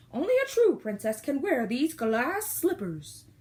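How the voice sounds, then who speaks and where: Using a put-on character voice, a woman moves through very wide pitch swings at a moderate pace. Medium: read story. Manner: imperious.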